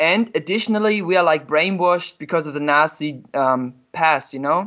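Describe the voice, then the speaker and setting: A man with a German accent talks at a moderate pace in a high, bright, sharp voice with ordinary pitch variation. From Germany. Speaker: caller. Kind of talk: casual chat.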